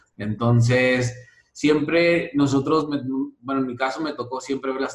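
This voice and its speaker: A man talks at a fairly slow pace with a medium pitch. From Mexico, Sonora (Santa Ana, near US border). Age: 30s. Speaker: network marketing leader. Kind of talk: interview. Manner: halting, many fillers.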